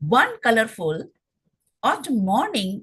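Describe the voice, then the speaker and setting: In an Indian accent, a woman with a fairly high pitch and a somewhat breathy voice speaks at a very slow pace with very wide pitch swings. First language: Hindi. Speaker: poet. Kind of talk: poetry reading. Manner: halting.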